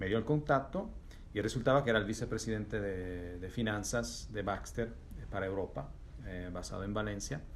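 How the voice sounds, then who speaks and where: A man with an Italian accent speaks at a fairly low pitch and a fairly quick pace. There is vocal fry in his voice and audible room echo. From Italy. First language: Italian (speaking Spanish). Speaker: business executive. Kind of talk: interview. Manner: halting, many repetitions.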